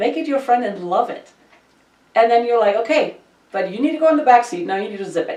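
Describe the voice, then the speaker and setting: Talking at a very fast pace with a German accent, a woman uses a high-pitched, animated voice with lively intonation and big swings in loudness. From Germany. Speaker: podcast host. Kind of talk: casual chat.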